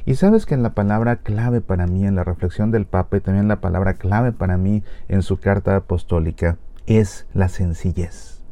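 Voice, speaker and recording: A man with a fairly low, dark, mellow voice, a moderate pace, very even loudness and fairly even intonation. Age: 40s. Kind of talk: spoken reflection.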